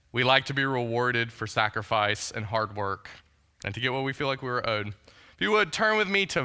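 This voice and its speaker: In a normal speaking voice, a man talks with an American accent at a medium pitch. The recording is very clean, with a silent background. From US South, Huntsville, Alabama. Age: 30s. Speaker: student pastor. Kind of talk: sermon.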